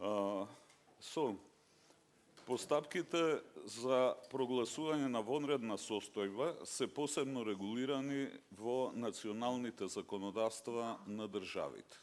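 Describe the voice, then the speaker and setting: A man at a fairly slow pace, in a Macedonian accent. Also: medium pitch for a man, ordinary pitch variation. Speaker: judge. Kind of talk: conference talk.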